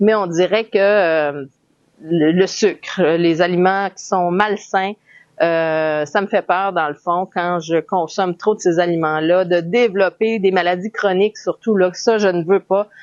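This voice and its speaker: Speaking with a Quebec accent, a woman talks at a very slow pace in a medium pitch with fairly even intonation. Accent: Québécois French. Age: 40s. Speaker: health vlogger. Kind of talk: personal vlog monologue. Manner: hesitant, many fillers.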